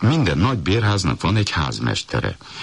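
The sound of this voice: With ordinary pitch variation, the reading voice comes across as unforced.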